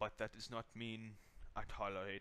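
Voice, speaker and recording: A man with a German accent speaks at a fairly slow pace in a bright, sharp tone with lively intonation. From Germany, Hannover. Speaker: gaming YouTuber. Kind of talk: channel introduction monologue. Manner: hesitant, many fillers.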